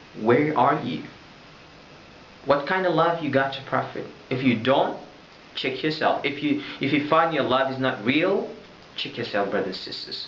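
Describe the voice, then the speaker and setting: A man with an Arabic accent and a fairly high pitch, at a moderate pace with long, frequent pauses and ordinary pitch variation, amid audible room echo and noticeable background noise. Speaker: religious vlogger. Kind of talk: religious talk to camera. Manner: loud; halting.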